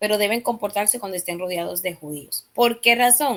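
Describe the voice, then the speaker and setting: Her pitch sits in the medium range and varies in an ordinary way. The woman keeps a moderate pace. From Dominican Republic. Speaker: Bible study teacher. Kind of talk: Bible study lesson. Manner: hesitant, many fillers.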